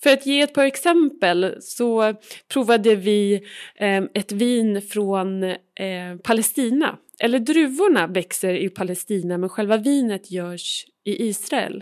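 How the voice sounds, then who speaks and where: Speaking with a Swedish accent, the voice moves at a fairly slow pace with lively intonation. The recording is very clean, with a silent background. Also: woman, fairly high pitch for a woman. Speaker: podcast host. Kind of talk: interview; scripted narration. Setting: outdoors on stairs in a small Italian town.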